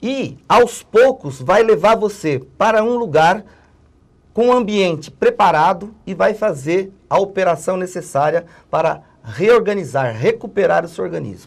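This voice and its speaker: This man speaks at a fairly slow pace in a high pitch, his intonation lively. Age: 60s. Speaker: political analyst and former union worker. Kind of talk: interview.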